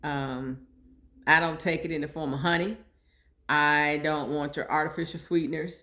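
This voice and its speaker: A woman speaks at a very deep, low pitch in a monotone, flat intonation, with a bright, sharp tone. Long, frequent pauses break up her speech. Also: moderate pace. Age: 60s. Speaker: podcast host sharing personal health story. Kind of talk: personal monologue podcast. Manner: conversational, informal.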